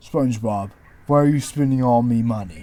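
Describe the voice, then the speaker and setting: A man talks in a put-on character voice. His pitch sits in the medium range. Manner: complaining, nagging.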